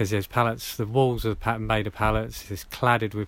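In a southern English accent, a man talks at a moderate pace with a fairly low pitch. The recording is very clean, with a silent background. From southern England, Hampshire. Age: 40s. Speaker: off-grid bushcrafter. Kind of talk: interview.

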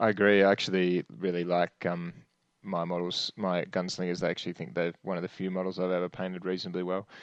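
With an Australian accent, a man talks very fast in a very deep, low voice and monotone, flat intonation. The sound is dry and close with no echo, and the background is quiet. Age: 30s. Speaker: podcast host. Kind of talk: casual chat.

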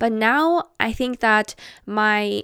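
A woman with a non-native accent speaks at a fairly high pitch. The recording is very clean with a silent background, and the sound is dry and close with no echo. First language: not English. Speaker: podcast host and artist. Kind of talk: casual chat. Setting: home, sitting on bed. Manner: relaxed.

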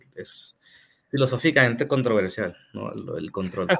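This man has a plain, everyday voice at a medium pitch. His intonation is lively. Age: 30s. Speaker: part-time pastor and civil engineer. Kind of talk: casual chat. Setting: live stream.

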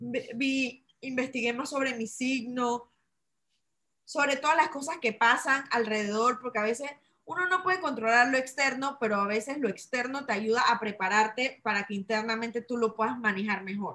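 This woman speaks at a moderate pace in a Panamanian accent. Her voice sits high, with ordinary pitch variation. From Panama, Chitré (interior). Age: 30s. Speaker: entrepreneur selling essential oils. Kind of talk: interview.

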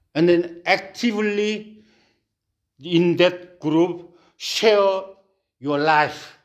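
Speaking at a very slow pace with long, frequent pauses, a man holds a high pitch and fairly even intonation. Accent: Korean. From South Korea. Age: 60s. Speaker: pastor. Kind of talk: sermon. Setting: church. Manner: halting.

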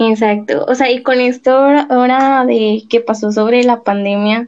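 In a Mexican accent, a woman speaks at a fairly slow pace with fairly even intonation. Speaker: podcast co-host. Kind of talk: casual interview.

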